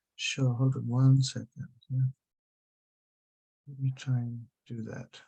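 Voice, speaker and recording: A man talks at a medium pitch in a dark, mellow, somewhat breathy voice. His intonation is monotone and flat, while his loudness swings widely. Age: 50s. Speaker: social media consultant. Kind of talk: webinar presentation. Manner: fast.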